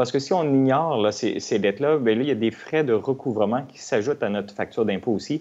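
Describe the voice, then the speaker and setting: The speech races at a very fast pace with hardly any pauses and ordinary pitch variation. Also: man, medium pitch for a man. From Quebec. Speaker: tax expert; guest. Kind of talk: TV interview explaining finances.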